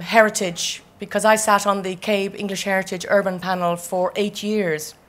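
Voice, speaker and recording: Recorded very cleanly with a silent background, a woman speaks with an Irish accent at a medium pitch and moderate pace, her intonation fairly even. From Ireland. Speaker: architect. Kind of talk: keynote speech.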